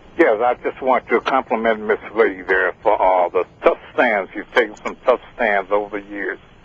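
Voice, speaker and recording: A man talks with hardly any pauses. Noticeable background noise runs underneath. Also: moderate pace. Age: 70s. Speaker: retired Air Force caller. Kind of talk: call-in comment. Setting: phone call.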